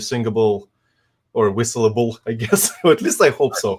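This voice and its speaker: A man with a Russian accent speaks at medium pitch. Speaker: composer, community member. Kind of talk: casual chat presenting own music. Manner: hesitant, many fillers.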